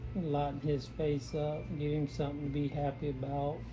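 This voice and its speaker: Some room echo is audible as a man with a Southern US accent speaks at a fairly high pitch. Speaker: painter. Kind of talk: painting tutorial. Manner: casual, rambling with many false starts.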